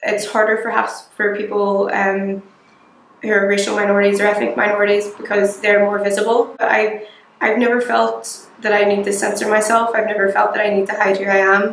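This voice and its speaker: A woman with a Belfast accent at a fairly quick pace, flat monotone intonation, audible room echo and light background noise. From Northern Ireland, north Belfast. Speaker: local resident, recent graduate; interviewee. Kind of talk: interview testimony; interview answer. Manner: hesitant with fillers. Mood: calm, reflective. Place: home room.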